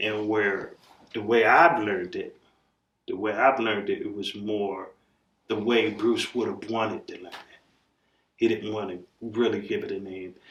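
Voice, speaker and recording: Loudness swings widely as a man speaks at a moderate pace. He leaves long, frequent pauses. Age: 60s. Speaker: martial arts grandmaster. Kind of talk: interview. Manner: halting, many fillers.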